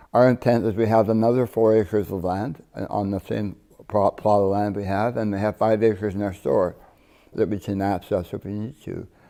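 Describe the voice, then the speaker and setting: A man speaks in a fairly low pitch with a dark, mellow tone and monotone, flat intonation. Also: moderate pace. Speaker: cannabis company founder. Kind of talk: TV interview. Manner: halting, many repeats and restarts.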